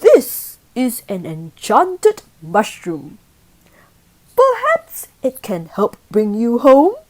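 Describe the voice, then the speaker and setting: Using a put-on character voice, a woman speaks at a very slow pace and a high pitch. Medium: read story. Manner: warm, kind.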